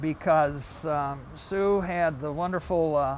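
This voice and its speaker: With a Midwestern American accent, a man of fairly high pitch shows ordinary pitch variation. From Toledo, Ohio. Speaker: local historian. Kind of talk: local history talk.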